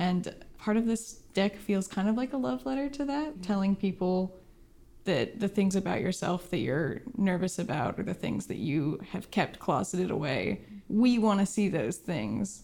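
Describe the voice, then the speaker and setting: With an American accent, a woman talks at a moderate pace in a medium-pitched voice with vocal fry and lively intonation. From rural Oregon. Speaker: illustrator. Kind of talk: interview.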